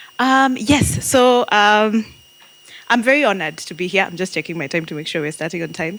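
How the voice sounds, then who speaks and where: Over noticeable background noise, a woman speaks at a fairly quick pace. Her voice sits at a medium pitch with lively intonation. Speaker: marketing and AI strategist, speaker. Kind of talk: interactive talk to audience. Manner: loud; animated.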